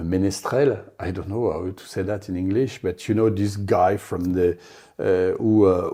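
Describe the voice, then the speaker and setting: With a French accent, a man speaks at a moderate pace in a fairly low pitch, his tone dark and mellow and his intonation fairly even, over a very clean recording with a silent background. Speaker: polar explorer. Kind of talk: interview. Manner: halting.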